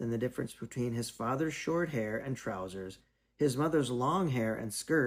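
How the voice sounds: The clip has a natural reading voice. That voice is all there is to it.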